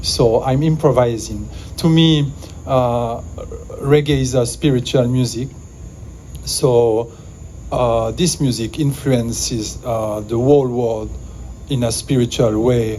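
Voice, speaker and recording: Speech comes at a very slow pace with long, frequent pauses and fairly even intonation, over noticeable background noise and audible room echo. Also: man, medium pitch for a man. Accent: French. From Switzerland, Valais. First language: French. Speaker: music producer. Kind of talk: improvised speech. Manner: halting, many fillers.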